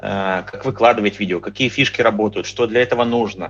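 This man's tone comes across bright and sharp. He keeps a moderate pace. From Crimea. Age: 40s. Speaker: fitness trainer and blogger. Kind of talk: casual chat.

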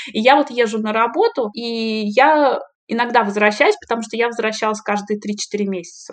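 A woman's fairly high voice, an ordinary speaking voice, with fairly even intonation at a moderate pace. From Russia. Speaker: PhD candidate in medical sciences. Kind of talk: interview.

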